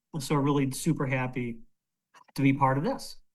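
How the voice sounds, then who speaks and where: A man talks with fairly even intonation. Room echo is audible. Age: 60s. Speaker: retired fertility doctor. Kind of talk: panel interview on video call. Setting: video call.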